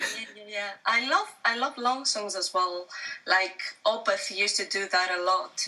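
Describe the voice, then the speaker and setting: A woman at a moderate pace, medium in pitch with ordinary pitch variation, against noticeable background noise. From Greece. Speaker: singer-songwriter. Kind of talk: interview.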